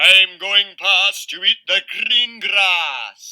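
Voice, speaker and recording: A man's high-pitched, put-on character voice at a very slow pace. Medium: read story. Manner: bold.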